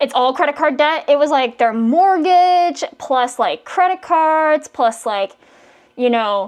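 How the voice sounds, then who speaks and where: Her pitch is high and her intonation lively, with an animated tone. The woman talks at a fairly slow pace. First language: not English. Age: 40s. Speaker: live streamer. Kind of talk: casual chat.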